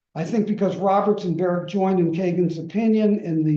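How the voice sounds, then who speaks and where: A man's high-pitched voice with a dark, mellow tone, ordinary pitch variation, a moderate pace and audible room echo. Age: 80s+. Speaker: lecturer. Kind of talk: lecture.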